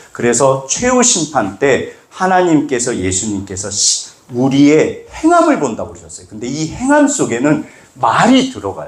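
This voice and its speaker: Over noticeable background noise, the speaker talks at a fairly slow pace in an animated tone with big swings in loudness. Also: man. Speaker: pastor. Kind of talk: sermon.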